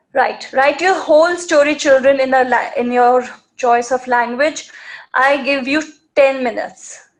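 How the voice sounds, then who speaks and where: A woman with an Indian accent talks in a high-pitched voice. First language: Marwari. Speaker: storytelling and writing teacher for kids. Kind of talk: live online class for children. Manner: animated, repetitive coaxing.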